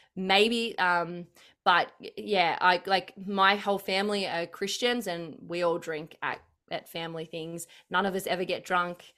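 With an Australian accent, a woman speaks at a moderate pace in a flat monotone, her tone bright and sharp and her pitch fairly low. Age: 30s. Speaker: political commentator. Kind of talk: casual chat.

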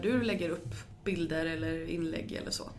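Audible room echo surrounds the voice. The pace is fairly slow. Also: woman. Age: 30s. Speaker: podcast host. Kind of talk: interview; podcast intro.

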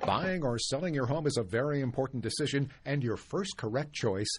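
A man's medium-pitched, somewhat breathy voice with ordinary pitch variation at a moderate pace. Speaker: radio announcer. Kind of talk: scripted announcements and ad reads. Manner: smooth, polished announcer delivery.

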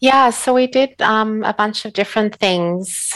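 With an Australian accent, a woman talks with ordinary pitch variation. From Australia (Sydney). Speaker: author and animal protection advocate. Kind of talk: casual interview chat. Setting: remote call from home.

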